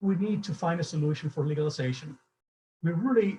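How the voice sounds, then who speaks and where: A man with a Cuban accent, dark and mellow in tone, at a fairly quick pace with ordinary pitch variation. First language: Spanish. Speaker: event moderator, business advocate. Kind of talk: moderated panel introduction.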